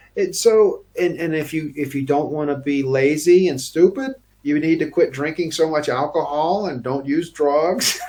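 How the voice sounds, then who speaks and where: In an American accent, a man speaks at a moderate pace with hardly any pauses. His fairly high pitch shows ordinary variation over noticeable background noise. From United States. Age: 50s. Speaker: financial professional. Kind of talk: interview. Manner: halting, many fillers and repeats.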